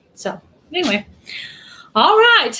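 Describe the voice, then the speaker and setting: Fairly slowly, a woman with a Texan accent speaks in a raised, projected voice with a bright, sharp tone. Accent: Texas Southern US. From Texas. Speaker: YouTube channel host. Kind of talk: casual live stream chat.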